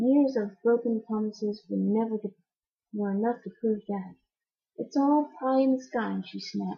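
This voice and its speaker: A soft-spoken, somewhat breathy woman's voice, fairly high-pitched, with fairly even intonation at a moderate pace. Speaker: amateur audiobook reader. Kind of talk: reading aloud. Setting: at home.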